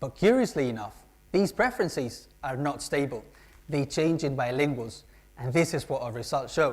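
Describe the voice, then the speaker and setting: The speaker talks at a moderate pace with a Spanish accent. The recording is very clean and the background silent. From Spain. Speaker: PhD student. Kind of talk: competition talk.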